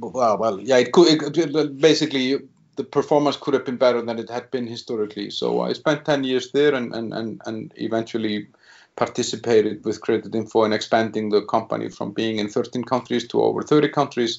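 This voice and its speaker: Vocal fry colors this speech, delivered at a fairly quick pace with an Icelandic accent. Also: man, medium pitch for a man, ordinary pitch variation. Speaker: business executive. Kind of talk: interview. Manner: halting.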